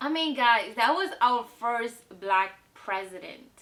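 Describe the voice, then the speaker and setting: Noticeable background noise runs through the clip. The speaker talks at a fairly slow pace. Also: woman. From South Africa. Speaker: vlogger. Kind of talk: casual vlog monologue. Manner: conversational, with fillers.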